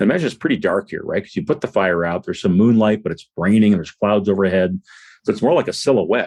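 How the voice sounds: In a natural reading voice, the speaker reads over a quiet background.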